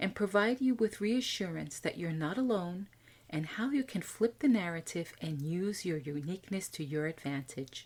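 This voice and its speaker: With an American accent, a woman speaks in a plain, everyday voice at a medium pitch, moderate pace and lively intonation. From USA. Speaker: podcast host, IT executive coach. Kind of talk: scripted podcast monologue.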